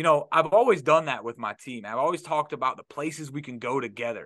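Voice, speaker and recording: A man with an American accent and a bright, sharp tone speaks at a fairly quick pace and fairly high pitch, with ordinary pitch variation against a quiet background. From Detroit, then Florida from age 14. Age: 30s. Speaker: business owner, recovering addict. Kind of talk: casual interview. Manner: animated.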